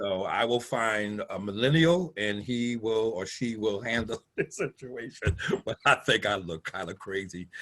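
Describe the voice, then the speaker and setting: Over a quiet background, a man with an unremarkable speaking voice talks at a moderate pace in a medium pitch with ordinary pitch variation. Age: 60s. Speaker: pastor. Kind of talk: casual chat. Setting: video call.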